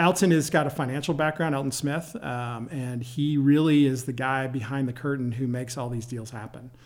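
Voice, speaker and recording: A man with a plain, everyday voice speaks at a fairly quick pace, with hardly any pauses. His pitch is medium and his intonation fairly even, in a very clean recording with a silent background. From Michigan, near Detroit. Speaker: company CEO. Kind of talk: interview.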